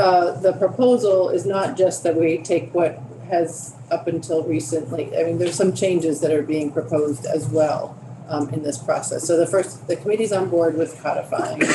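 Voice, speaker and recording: Through noticeable background noise, a woman speaks at a fairly low pitch with ordinary pitch variation. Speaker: committee chair. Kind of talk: committee meeting. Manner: fast.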